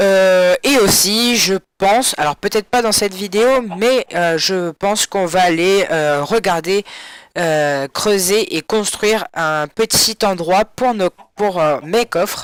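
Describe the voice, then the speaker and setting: Speaking at a very slow pace, a man with a high voice keeps very even loudness and ordinary pitch variation, the sound dry and close with no echo. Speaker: gaming YouTuber. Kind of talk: gameplay commentary. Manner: soft-spoken.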